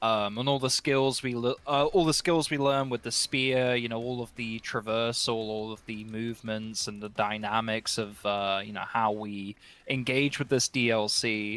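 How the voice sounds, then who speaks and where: At a moderate pace and medium pitch, a man speaks with hardly any pauses. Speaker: gaming content creator. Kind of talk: panel discussion. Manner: halting; animated.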